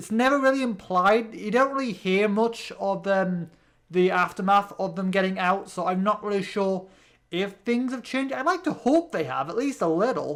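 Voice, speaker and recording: Here a man speaks in a British accent at a moderate pace. His pitch is high, with ordinary pitch variation. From Britain. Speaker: gaming youtuber. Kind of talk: let's play commentary.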